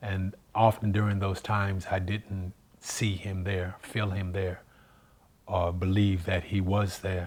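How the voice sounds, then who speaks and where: A man speaks at a very slow pace in a very deep, low voice that is somewhat breathy. His intonation stays monotone and flat. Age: 60s. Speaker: singer giving testimony. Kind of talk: testimony.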